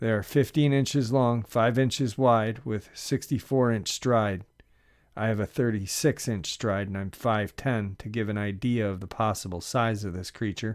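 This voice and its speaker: A man talks at a moderate pace and medium pitch, with ordinary pitch variation. It is an unremarkable speaking voice on a very clean recording with a silent background. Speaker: narrator. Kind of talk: first-person encounter story reading.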